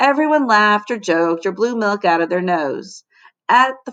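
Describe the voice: Lively intonation runs through plain reading aloud over a quiet background.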